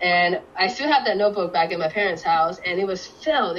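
A woman with a Cantonese accent speaks at a medium pitch. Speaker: guest. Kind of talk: casual interview chat.

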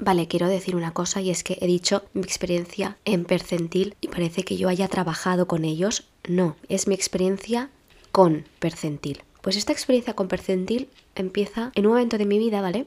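A woman in an ordinary speaking voice uses medium pitch and ordinary pitch variation, moving at a moderate pace. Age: 30s. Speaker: podcaster and teacher. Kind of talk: casual solo podcast monologue.

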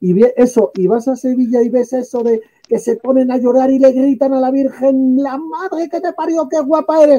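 A man's extremely high-pitched voice with a dark, mellow tone. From northern Spain. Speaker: talk show panelist. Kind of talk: casual chat.

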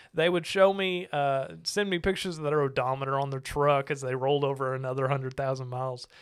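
A man with a Southern US accent and a fairly high pitch, talking very fast with hardly any pauses and ordinary pitch variation. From Arkansas. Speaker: podcast host, RV salesman. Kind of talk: casual interview chat over beers.

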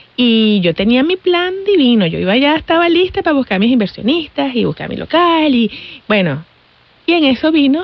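A woman's pitch swings very widely. There is noticeable background noise. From Venezuela. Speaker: chocolate maker and business owner. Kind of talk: interview.

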